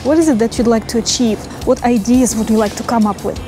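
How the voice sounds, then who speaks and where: Noticeable background noise sits under a woman's voice, recorded dry with no echo. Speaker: brainstorming coach. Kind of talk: guided visualization. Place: garden. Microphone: lapel.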